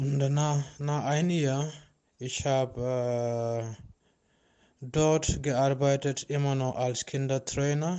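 A very slow, monotone man's voice with flat intonation, very even loudness, and a non-native accent. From Gambia. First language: not German (speaking German). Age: 30s. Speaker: refugee interviewee, sports trainer. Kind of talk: interview. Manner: halting.

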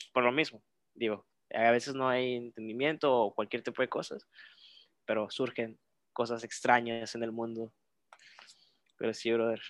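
A man speaks at a moderate pace and medium pitch, in a monotone, flat intonation with long, frequent pauses. The recording is very clean, with a silent background and a dry, close sound with no echo. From Reynosa, Tamaulipas, Mexico. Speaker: podcast guest. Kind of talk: casual chat.

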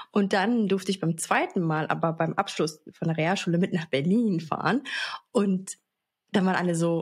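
A woman speaks at a moderate pace with very even loudness and ordinary pitch variation. Her voice is somewhat breathy. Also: medium pitch for a woman. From Baden-Baden, Germany. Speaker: podcast co-host. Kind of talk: casual chat.

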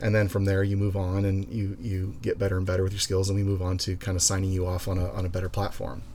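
A man speaks very fast with hardly any pauses, in a very deep, low voice with a dark, mellow tone. His delivery is somewhat breathy, monotone and flat in intonation, and very even in loudness. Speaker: association president, police drone program leader. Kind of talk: casual interview conversation.

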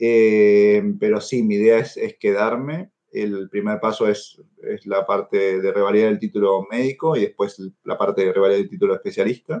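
A man with an Argentine accent talks at a moderate pace. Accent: Argentine Spanish (Rioplatense). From Argentina. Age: 30s. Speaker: neurosurgeon. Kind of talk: interview. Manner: halting, with frequent fillers and repetitions.

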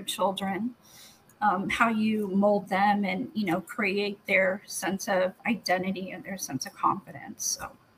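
Noticeable background noise fills the clip. A woman talks at a fairly slow pace. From Guam family, partly raised in the Philippines. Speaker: nurse and healthcare executive. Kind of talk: interview. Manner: hesitant, many fillers.

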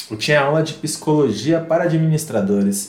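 The male speaker's pitch varies in an ordinary way while audible room echo and noticeable background noise fill the recording. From Northeast Brazil. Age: 30s. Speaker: psychoanalysis student and musician. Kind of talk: casual chat.

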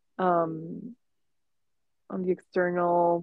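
Speaking with a Spanish accent, a woman has a fairly low voice. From Mexico. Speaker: artist. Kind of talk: casual chat. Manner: halting.

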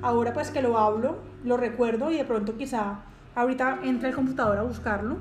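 A woman's high voice at a fairly quick pace, fairly even in intonation, with audible room echo and noticeable background noise. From Colombia. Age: 20s. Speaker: podcast host, psychologist. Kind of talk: casual monologue. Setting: at home.

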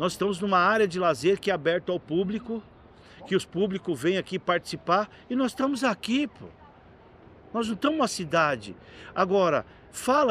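Bright and sharp in tone, a man speaks at a high pitch and a moderate pace. His intonation is lively. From Jandira, São Paulo state, Brazil. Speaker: local politician, city councillor. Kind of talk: casual storytelling interview. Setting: outdoor public leisure area. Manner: animated.

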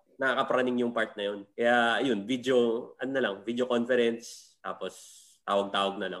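A man speaks at medium pitch in an unremarkable speaking voice. His intonation stays fairly even. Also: moderate pace. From Philippines. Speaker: comedian. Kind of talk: casual chat.

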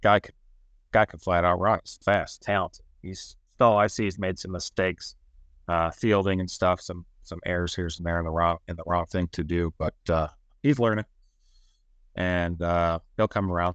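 Over a quiet background, a man with a very deep, low pitch speaks at a moderate pace with fairly even intonation and big swings in loudness, the sound dry and close with no echo. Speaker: podcast host. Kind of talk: casual sports chat.

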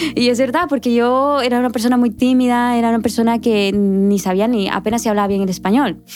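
A woman speaks with a fairly high pitch and fairly even intonation. Noticeable background noise runs beneath her voice. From Guatemala. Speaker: public relations worker. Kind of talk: casual chat.

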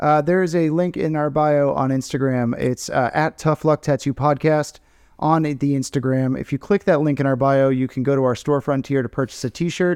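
Delivered at a moderate pace with hardly any pauses, this is an ordinary speaking voice with fairly even intonation. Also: man, fairly high pitch for a man, dry, close sound with no echo. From Tampa, Florida. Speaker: podcast host, tattoo artist. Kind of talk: sponsor plug; casual chat.

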